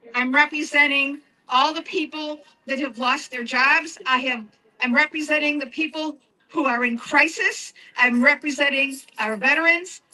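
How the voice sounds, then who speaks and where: A woman speaks in a raised, projected voice. Her pitch is high, with ordinary variation. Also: moderate pace. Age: 70s. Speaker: protester speaking at rally. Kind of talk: rally speech.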